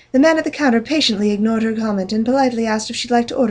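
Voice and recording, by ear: Pitch variation is ordinary. The speaker is reading aloud in a natural voice.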